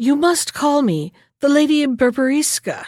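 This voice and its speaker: At a moderate pace, a woman puts on a high-pitched character voice. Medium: read story. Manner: sharp, scheming.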